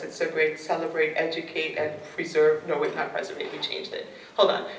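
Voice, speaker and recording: Amid audible room echo and noticeable background noise, a woman speaks at a fairly quick pace. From Trinidad. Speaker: poet. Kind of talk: Q&A after poetry reading. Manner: casual, many fillers.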